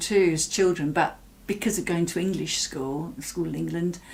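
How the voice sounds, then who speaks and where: A woman speaks with an English Midlands accent. Her pitch is fairly low and her pace is moderate. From English Midlands, Mansfield. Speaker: artist from Latvian community. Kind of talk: interview, personal recollection. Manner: hesitant, many fillers.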